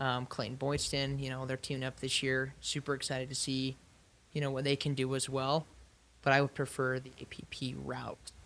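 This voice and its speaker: In an American accent, a man talks at a moderate pace and medium pitch with monotone, flat intonation. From Utah. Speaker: amateur pickleball player. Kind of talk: podcast interview.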